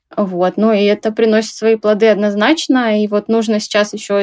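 Here a woman talks at a moderate pace with a fairly high pitch. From Russia, Tomsk. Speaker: small clothing brand owner. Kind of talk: interview.

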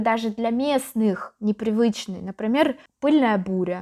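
Speaking very slowly, a woman has a fairly high pitch, a dark, mellow tone and ordinary pitch variation on a very clean recording with a silent background. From Yaroslavl, central Russia. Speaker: teacher of Russian as a foreign language. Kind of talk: interview.

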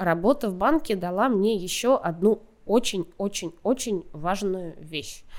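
Recorded very cleanly over a silent background, a woman speaks in a medium pitch. Her pace is very slow. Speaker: content director at a video platform. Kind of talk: casual interview.

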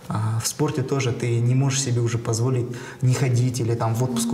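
Over noticeable background noise and audible room echo, a man talks at a fairly quick pace in a monotone, flat intonation with very even loudness. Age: 30s. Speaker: entrepreneur. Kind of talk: casual chat.

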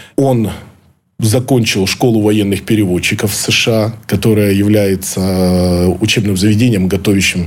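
Over noticeable background noise, a man with a fairly low pitch speaks in a fairly even intonation. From Ukraine. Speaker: former intelligence officer. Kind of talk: interview. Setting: studio.

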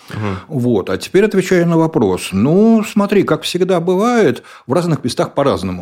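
Very wide pitch swings at a moderate pace. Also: man, high pitch for a man. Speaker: tech company executive. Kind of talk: interview.

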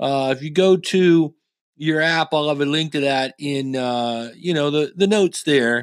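This man has a fairly high pitch and ordinary pitch variation. His pace is fairly slow. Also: very clean recording, silent background. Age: 50s. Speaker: podcast host. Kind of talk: casual monologue. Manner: halting, filler-heavy.

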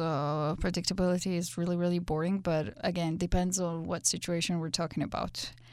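A woman with a Georgian accent speaks at a fairly low pitch with ordinary variation, recorded very cleanly against a silent background. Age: 20s. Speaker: interviewee. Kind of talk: interview answers.

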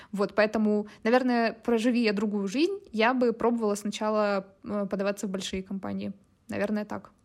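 Very clean and silent in the background, this recording features a woman at a fairly high pitch. She speaks in a monotone, flat intonation at a moderate pace. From Russia, Chelyabinsk (Urals). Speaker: product marketer. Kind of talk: casual interview.

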